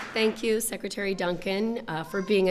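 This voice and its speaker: Very fast speech from a woman with an American accent over noticeable background noise. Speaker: schoolteacher, award recipient. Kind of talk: acceptance speech.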